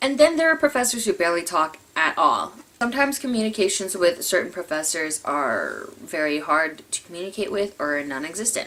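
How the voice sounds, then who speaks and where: A woman at medium pitch talks at a fairly quick pace with very wide pitch swings. She leaves hardly any pauses. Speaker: community college student. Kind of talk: casual talk to camera. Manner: stuttering, uses filler words; fast, thoughts outrun speech.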